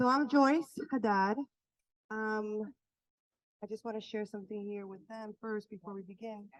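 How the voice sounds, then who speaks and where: The speaker keeps a moderate pace and fairly even intonation, leaving long, frequent pauses. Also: woman, fairly high pitch for a woman, big swings in loudness. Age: 40s. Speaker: healing workshop facilitator. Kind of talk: workshop talk.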